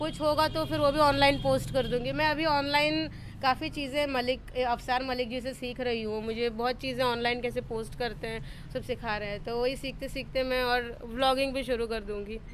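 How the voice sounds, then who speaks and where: With hardly any pauses, a woman speaks in a high voice with ordinary pitch variation, and the room echo is audible. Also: moderate pace. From Tamil Nadu, India. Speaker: solo traveller. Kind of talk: interview. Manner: halting.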